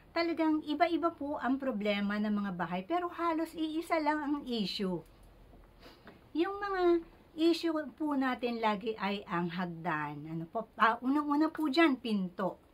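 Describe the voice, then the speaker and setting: A soft-spoken woman's high voice with very wide pitch swings. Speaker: feng shui consultant. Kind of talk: tutorial. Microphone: speaking very close to mic.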